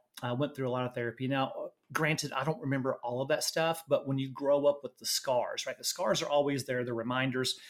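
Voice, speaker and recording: Fairly quickly, a man talks in a Southern US accent. His pitch is fairly high and his intonation fairly even. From Louisiana, US South. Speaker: nurse and medtech executive. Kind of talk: interview.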